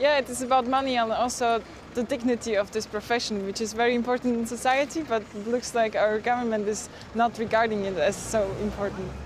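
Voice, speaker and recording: A woman speaks fairly quickly at a fairly high pitch with fairly even intonation, over noticeable background noise. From eastern Slovakia. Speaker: local guest, recent graduate. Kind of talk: TV interview.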